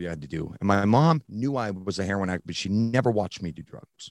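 At a fairly quick pace, a man speaks in a plain, everyday voice, fairly low in pitch with ordinary pitch variation, the sound dry and close with no echo. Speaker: fitness coach in recovery. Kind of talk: interview storytelling. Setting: remote recording.

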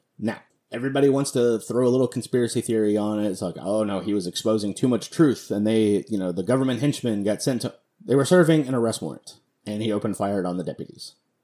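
Music sounds behind the speaker. He is a man speaking very fast. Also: ordinary pitch variation. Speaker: podcast host. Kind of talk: solo commentary podcast. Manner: casual, many filler words.

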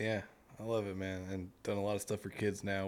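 In an American accent, a man with a fairly low pitch and a normal speaking voice talks at a fairly quick pace on a very clean recording with a silent background. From US South, Mississippi. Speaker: podcast host. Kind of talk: casual interview chat.

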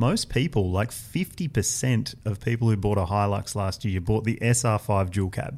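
A man at a fairly low pitch, at a moderate pace with hardly any pauses and ordinary pitch variation. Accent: Australian. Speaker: motoring journalist, senior editor. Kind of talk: casual chat.

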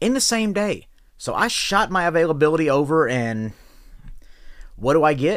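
A man with an animated tone makes very wide pitch swings in a very clean recording with a silent background. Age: 30s. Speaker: podcast host and professional wrestler. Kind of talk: rant.

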